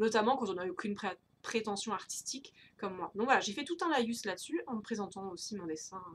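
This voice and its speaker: Her voice somewhat breathy and fairly high, a woman speaks at a moderate pace with lively intonation. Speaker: tarot and creativity YouTuber. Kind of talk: casual monthly update vlog. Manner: hesitant, many fillers.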